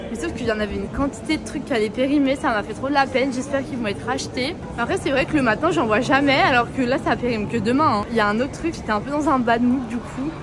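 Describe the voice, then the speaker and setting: A woman speaks very fast and loud in a high, animated voice with ordinary pitch variation, with audible room echo and music in the background. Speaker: travel vlogger. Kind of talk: casual vlog monologue.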